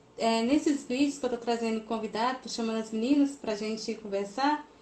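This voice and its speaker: There is noticeable background noise. A woman speaks with fairly even intonation. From Goiás, Brazil (Planaltina). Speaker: crochet youtuber and interviewer. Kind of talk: casual interview on a live stream. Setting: live stream.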